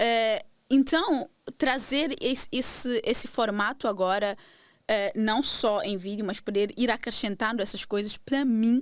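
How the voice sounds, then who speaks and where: The recording is very clean with a silent background, and the woman's pitch varies in an ordinary way. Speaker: podcast host. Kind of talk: casual monologue to audience. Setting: video podcast recording. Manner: direct, intense, motivated.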